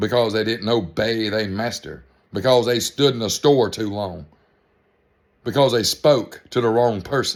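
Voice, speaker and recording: Ordinary pitch variation runs through the speech of a man with a Georgia accent. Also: medium pitch for a man, fairly slow pace. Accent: Southern US (Georgia). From US South, middle western Georgia. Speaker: vlogger. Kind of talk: political rant to camera. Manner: animated.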